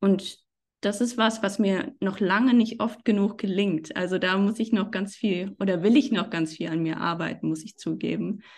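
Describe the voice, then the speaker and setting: Against a quiet background, a woman speaks with vocal fry and ordinary pitch variation. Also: medium pitch for a woman, moderate pace. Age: 30s. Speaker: freelance journalist. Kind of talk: podcast interview.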